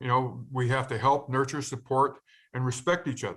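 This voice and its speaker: A man speaks at a fairly quick pace and medium pitch. It is an ordinary speaking voice. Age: 60s. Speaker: peer learning specialist, formerly incarcerated. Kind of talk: webinar presentation.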